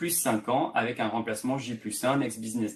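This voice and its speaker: Pitched in the mid range, a man's voice is heard. He moves along at a fairly brisk clip. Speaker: tech sales presenter. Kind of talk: webinar presentation. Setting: online webinar. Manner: fast; hesitant fillers.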